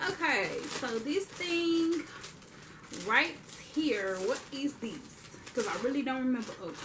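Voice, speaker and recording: A woman with a high pitch speaks fairly slowly, with very wide pitch swings and long, frequent pauses. Background noise is noticeable, and room echo is audible. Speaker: youtuber. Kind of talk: haul video monologue. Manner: animated.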